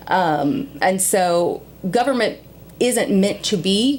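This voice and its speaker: With ordinary pitch variation, the clip presents a plain, everyday voice. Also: woman. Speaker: local government board member. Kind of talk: interview. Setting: podcast.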